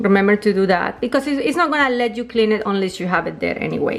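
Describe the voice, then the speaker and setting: At a fairly quick pace, a woman with a non-native accent speaks in a fairly high pitch with ordinary pitch variation. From Colombia. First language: Spanish. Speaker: home appliance video maker. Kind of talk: tutorial. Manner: casual, slightly halting.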